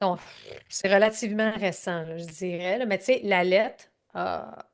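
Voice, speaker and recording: A woman with a Canadian French accent talks at a fairly slow pace and medium pitch. Her loudness swings a lot, while her pitch variation is ordinary. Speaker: growth strategy consultant and speaker. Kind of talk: interview answer. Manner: emotional, conversational.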